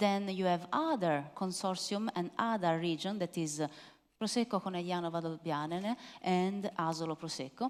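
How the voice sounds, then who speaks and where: On a very clean recording with a silent background, a woman with an Italian accent talks at a moderate pace and a fairly low pitch. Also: ordinary pitch variation. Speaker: wine expert presenter. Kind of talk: masterclass Q&A. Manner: hesitant, many fillers.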